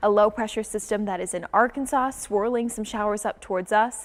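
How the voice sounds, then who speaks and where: A woman talks at a fairly quick pace in a fairly high pitch with ordinary pitch variation, an ordinary speaking voice. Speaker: TV meteorologist. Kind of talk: TV weather montage.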